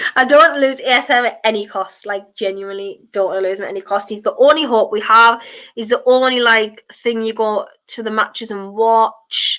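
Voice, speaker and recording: With a bright, sharp tone, a woman speaks at a moderate pace in a fairly high voice with ordinary pitch variation. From northern England, County Durham. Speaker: football streamer and podcaster. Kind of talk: live watchalong chat reading comments. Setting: live stream on camera at home. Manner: casual, chatty with fillers.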